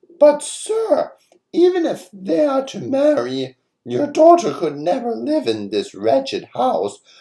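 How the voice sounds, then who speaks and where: A man performs a put-on character voice at a fairly slow pace. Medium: read story.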